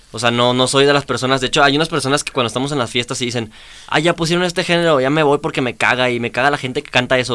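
At a very fast pace, a man talks at medium pitch. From Chihuahua, northern Mexico. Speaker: reggaeton and trap artist. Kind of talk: casual chat.

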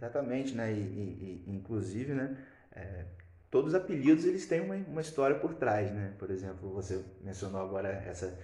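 A man with a Brazilian accent speaks in a fairly low voice. His moderate pace carries audible room echo. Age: 20s. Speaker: podcast co-host. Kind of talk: casual chat. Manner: halting.

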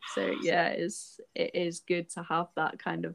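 In a Scottish accent, a woman speaks at a fairly slow pace, the sound dry and close with no echo. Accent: picking up a Scottish. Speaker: podcast host. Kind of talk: casual chat.

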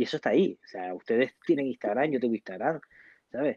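A man's medium-pitched, unremarkable speaking voice at a fairly quick pace. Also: dry, close sound with no echo. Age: 40s. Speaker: psychologist. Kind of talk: interview. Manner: casual.

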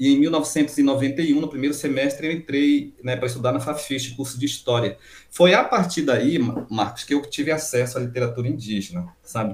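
Moderate pace and ordinary pitch variation. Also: man, fairly high pitch for a man. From Amapá, Brazilian Amazon. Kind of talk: interview. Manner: halting, with repetitions.

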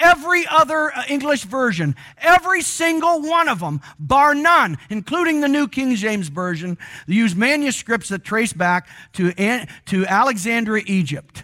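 On a very clean recording with a silent background, a man's raised, projected voice hits an extremely high pitch with very wide pitch swings and a bright, sharp tone. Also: moderate pace. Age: 60s. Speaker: pastor. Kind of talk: sermon. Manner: conversational, frequent fillers.

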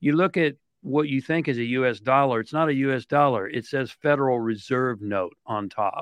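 With a plain, everyday voice, a man speaks in an American accent at a moderate pace, medium pitch and ordinary pitch variation, in a dry, close sound with no echo against a quiet background. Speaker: author and consultant guest.

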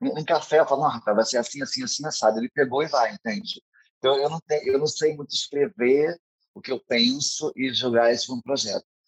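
Heard in a dry, close recording with no echo, a man talks fairly quickly at a fairly high pitch with ordinary pitch variation. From Rio de Janeiro state, São Gonçalo. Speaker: drag queen and event producer. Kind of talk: casual interview. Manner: fast; animated.

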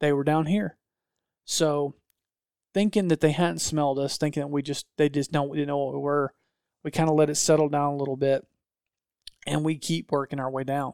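Recorded with a dry, close sound and no echo, a man talks in fairly even intonation. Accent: Southern US. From north Georgia, US South. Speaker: hunting videographer. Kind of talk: casual chat.

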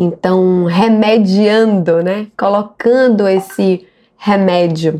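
Very slowly, a woman speaks with a dark, mellow tone at medium pitch and fairly even intonation. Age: 40s. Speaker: actress and city councillor. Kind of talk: interview.

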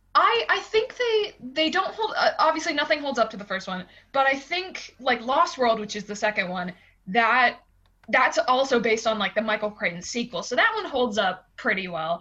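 High in pitch with very wide pitch swings, a woman speaks in an American accent. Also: moderate pace. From Pittsburgh, Pennsylvania. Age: 20s. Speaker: podcast guest, movie fan. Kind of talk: casual chat.

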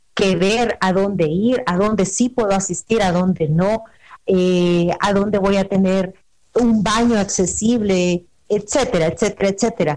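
Speaking at a fairly slow pace, a woman with an ordinary speaking voice and medium pitch keeps her loudness very even and her intonation fairly even. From El Salvador. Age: 30s. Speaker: travel agent. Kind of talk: radio interview.

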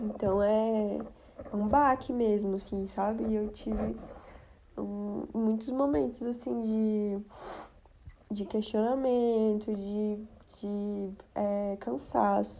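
A woman with a fairly high voice talks at a very slow pace, leaving long, frequent pauses. Her pitch varies in an ordinary way. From Brazil, Brasília. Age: 20s. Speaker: podcast host. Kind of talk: casual personal monologue.

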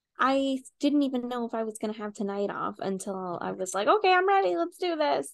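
With an American accent, a woman talks at a fairly quick pace in a fairly high voice, her pitch swinging very widely and hardly any pauses between words. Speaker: podcast co-host. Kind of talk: casual, frequent swearing.

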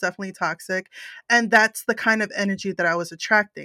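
The speech comes at a very fast pace with fairly even intonation. The sound is dry and close with no echo, on a very clean recording with a silent background. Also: woman. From Puerto Rican background. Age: 30s. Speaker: personal development coach and podcaster. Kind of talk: interview testimony.

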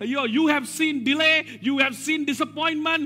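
Raising and projecting his voice, a man speaks at an extremely high pitch with ordinary pitch variation and a bright, sharp tone. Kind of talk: sermon. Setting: church. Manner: animated call-and-response preaching, urging the congregation to repeat key words; emphatic, repetitive, rising exhortation with prophetic declarations.

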